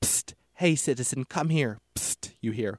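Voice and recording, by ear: A natural voice reading aloud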